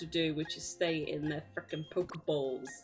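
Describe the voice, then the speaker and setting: A fairly quick-speaking woman with music in the background. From Birmingham, England. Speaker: streamer. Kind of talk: casual chat. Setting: live stream. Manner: halting, repeats words.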